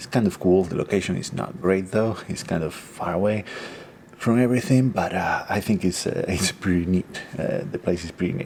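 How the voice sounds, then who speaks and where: Against noticeable background noise, a man with a very deep, low pitch talks at a moderate pace with ordinary pitch variation. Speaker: photography vlogger. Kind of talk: casual vlog. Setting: indoors at a rental home. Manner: hesitant, many fillers.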